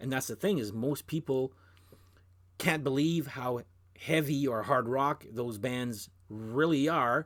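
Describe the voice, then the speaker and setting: This man has a Canadian French accent, a medium pitch and ordinary pitch variation. The recording is very clean, with a silent background. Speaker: music video blogger. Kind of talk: casual monologue. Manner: hesitant, many restarts.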